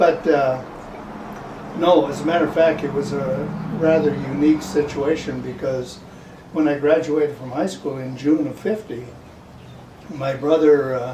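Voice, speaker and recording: Amid noticeable background noise and audible room echo, a man with an American accent and a fairly high pitch talks at a moderate pace with ordinary pitch variation, big swings in loudness, and long, frequent pauses. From Upper Michigan, US Midwest. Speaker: war veteran. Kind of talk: oral history interview. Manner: halting.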